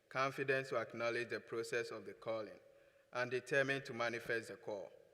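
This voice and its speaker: Bright and sharp describes this tone. It is a man's voice. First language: not English. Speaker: student award recipient. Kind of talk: award acceptance speech.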